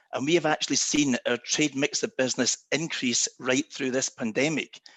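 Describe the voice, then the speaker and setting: A man with a Scottish accent talks at a moderate pace in a fairly high pitch, his intonation lively, the sound dry and close with no echo against a quiet background. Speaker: travel company executive. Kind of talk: panel discussion.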